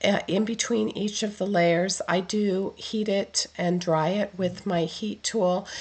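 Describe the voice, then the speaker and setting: At a very slow pace with hardly any pauses, a woman speaks in a somewhat breathy medium-pitched voice, her intonation fairly even and her loudness very even. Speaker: card-making crafter. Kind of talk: tutorial voiceover. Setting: recorded voiceover.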